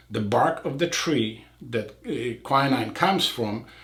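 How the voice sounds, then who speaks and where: Audible room echo surrounds a man with a non-native accent and ordinary pitch variation. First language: not English. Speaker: eye surgeon. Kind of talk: casual chat.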